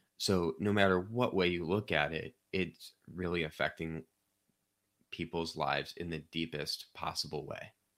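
A man's very deep, low voice in a Midwestern American accent, at a fairly slow pace with fairly even intonation, on a very clean recording with a silent background. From Missouri, St. Louis County (Chesterfield). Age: 30s. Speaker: democracy reform advocate, nonprofit CEO. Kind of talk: interview.

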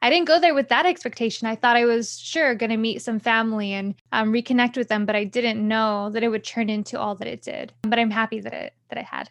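With an ordinary speaking voice, a woman talks at a fairly quick pace and fairly high pitch, with ordinary pitch variation, hardly any pauses and a quiet background. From California. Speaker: international education student resource specialist and entrepreneur. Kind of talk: interview.

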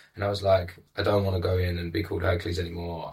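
In a London accent, a man speaks with a very deep, low pitch, somewhat breathy and in a monotone, flat intonation, on a very clean recording with a silent background. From England, East London. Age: 20s. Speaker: life coach. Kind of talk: casual chat. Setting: studio.

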